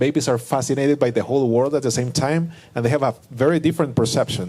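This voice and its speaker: Talking at a very fast pace, a man with a non-native accent has a medium pitch and a dark, mellow tone. His pitch variation is ordinary and his loudness very even. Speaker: panelist. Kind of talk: panel discussion. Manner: halting.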